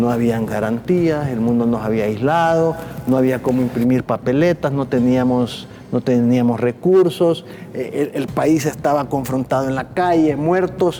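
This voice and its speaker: Noticeable background noise under a fairly slow delivery. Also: man, medium pitch for a man, ordinary pitch variation. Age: 60s. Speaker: former electoral magistrate. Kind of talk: TV interview.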